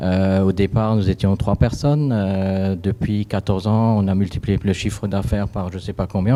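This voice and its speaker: A man with a fairly low pitch and a dark, mellow tone talks at a moderate pace. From Alsace, France. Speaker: company founder. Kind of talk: panel discussion.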